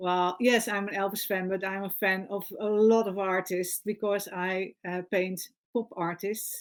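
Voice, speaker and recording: On a very clean recording with a silent background, a woman speaks at a fairly slow pace with medium pitch and monotone, flat intonation. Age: 60s. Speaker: painter. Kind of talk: interview. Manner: halting, many fillers.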